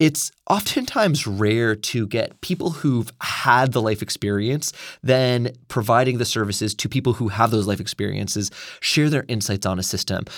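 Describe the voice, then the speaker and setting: A man talks in a plain, everyday voice. His pitch is medium with ordinary variation, and he keeps a moderate pace. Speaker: podcast co-host, humanitarian worker. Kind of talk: interview, conversational discussion. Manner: conversational with fillers.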